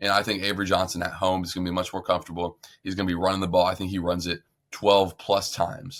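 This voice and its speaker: On a very clean recording with a silent background, a man with a very deep, low pitch talks at a very fast pace. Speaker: sports podcast host. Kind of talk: casual sports chat. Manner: animated.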